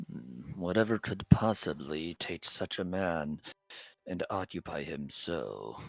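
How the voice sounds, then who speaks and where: In a put-on character voice, a man speaks at a fairly slow pace with a very deep, low pitch, lively intonation and big swings in loudness, the sound dry and close with no echo on a very clean recording with a silent background. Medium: actual play. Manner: smooth, courteous.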